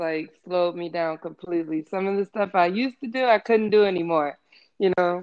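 With an American accent, a woman speaks at a moderate pace in a fairly low pitch. It is a normal speaking voice. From Maryland, US (Waldorf, St. Mary's County). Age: young. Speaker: podcast guest, former receptionist. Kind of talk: casual interview chat.

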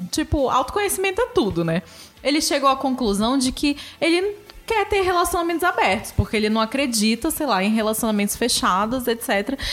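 With very wide pitch swings, a high-pitched woman speaks at a fairly quick pace against noticeable background noise. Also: very even loudness. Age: 30s. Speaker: podcast co-host. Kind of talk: casual chat.

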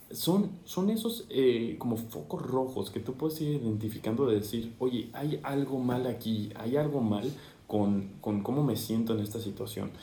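At a fairly slow pace with hardly any pauses, a man of medium pitch speaks with lively intonation amid audible room echo and noticeable background noise. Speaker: radio and TV announcer, event MC, voice-over artist. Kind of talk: casual chat. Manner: animated.

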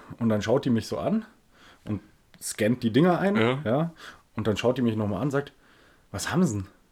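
A man's medium-pitched voice with lively intonation, moderate pace and long, frequent pauses. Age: 30s. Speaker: podcast co-host. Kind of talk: casual chat.

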